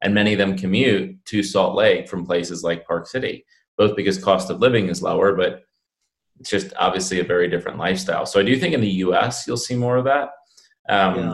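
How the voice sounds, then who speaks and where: Talking at a fairly quick pace, a man has an ordinary speaking voice, fairly low in pitch with ordinary pitch variation. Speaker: podcast host. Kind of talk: interview conversation.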